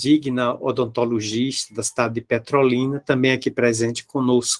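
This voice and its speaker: A man with a Bahian accent talks at a medium pitch and a moderate pace in a monotone, flat delivery. The sound is dry and close, with no echo. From Bahia, Brazil (Salvador). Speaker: spiritist lecturer. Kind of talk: public lecture. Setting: video call.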